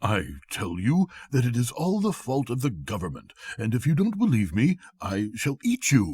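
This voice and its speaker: Putting on a gruff, growling character voice, a man speaks at medium pitch and a moderate pace. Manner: growling, gruff, practical.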